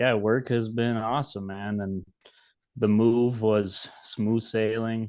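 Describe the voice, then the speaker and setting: A man with a strong Minnesota accent, medium pitch, a monotone, flat intonation and a very slow pace. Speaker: podcast co-host. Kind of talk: casual chat.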